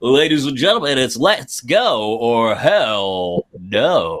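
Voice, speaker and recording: Someone speaks in a put-on character voice at a very slow pace. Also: man, medium pitch for a man. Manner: loud, showy.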